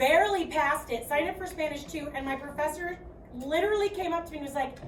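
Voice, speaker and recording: Amid audible room echo, a woman talks at a very fast pace in a high pitch with ordinary pitch variation. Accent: American. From US Midwest, Chicago. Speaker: math teacher. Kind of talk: classroom lecture. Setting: classroom.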